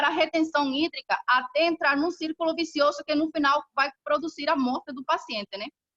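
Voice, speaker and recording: A woman's bright, sharp, high-pitched voice, raised and projected, with fairly even intonation and a dry, close sound free of echo. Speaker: professor. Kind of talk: lecture. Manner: fast.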